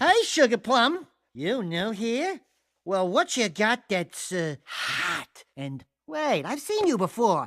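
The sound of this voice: In a cartoonish character voice, a man speaks slowly at a high pitch, his fairly bright tone marked by big pitch swings.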